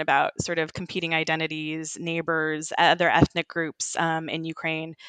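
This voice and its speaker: A woman at a moderate pace in a General American accent, fairly low in pitch, with a dry, close sound and no echo. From US West, Sacramento, California. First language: Ukrainian. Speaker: journalist. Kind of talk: interview.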